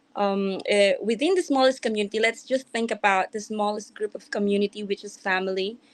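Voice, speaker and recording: A woman with a non-native accent speaks at a fairly high pitch. Her pace is fairly quick, with hardly any pauses. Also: ordinary pitch variation. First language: not English. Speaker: event host / moderator. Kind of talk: panel discussion wrap-up.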